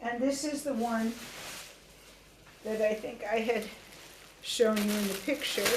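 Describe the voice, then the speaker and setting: A woman with a fairly high pitch speaks at a fairly slow pace, leaving long, frequent pauses. Her pitch varies in an ordinary way, with audible room echo. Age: 70s. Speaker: Odissi dance teacher and researcher. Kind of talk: webinar lecture with costume demonstration. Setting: video call webinar. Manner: conversational, hesitant fillers.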